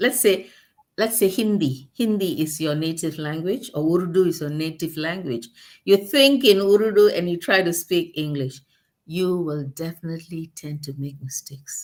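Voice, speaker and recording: At a moderate pace, a woman with a fairly low voice uses lively intonation and big swings in loudness. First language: not English. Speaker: guest on talk show. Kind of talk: casual chat. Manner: halting.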